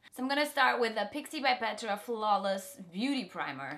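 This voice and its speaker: At a moderate pace, a woman's voice rises and falls in very wide pitch swings. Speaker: beauty vlogger. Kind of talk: casual makeup tutorial chat. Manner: chatty.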